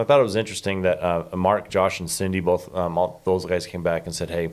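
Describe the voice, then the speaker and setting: Fairly even intonation and a fairly quick pace from a man with a very deep, low pitch. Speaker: podcast host. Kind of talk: casual chat.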